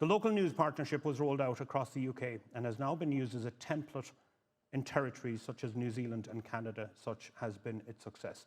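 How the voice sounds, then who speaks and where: Here a man speaks very fast with a Cork accent. His pitch is medium, with ordinary pitch variation. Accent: Irish (Cork). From Ireland, northwest County Cork. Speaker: panel moderator, news editor. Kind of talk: conference panel introduction. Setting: conference stage with audience.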